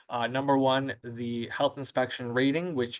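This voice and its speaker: Against a quiet background, this male voice proceeds at a moderate pace. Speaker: webinar presenter on nursing home quality ratings. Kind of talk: webinar presentation. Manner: hesitant, many fillers.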